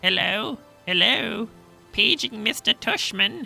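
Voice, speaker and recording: Faint music plays in the background as a put-on character voice speaks at a fairly slow pace in a fairly high pitch. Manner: fake, joking.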